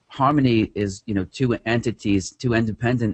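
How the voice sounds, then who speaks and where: A man with a New York accent, talking at a fairly quick pace with ordinary pitch variation. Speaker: trader and author. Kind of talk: interview.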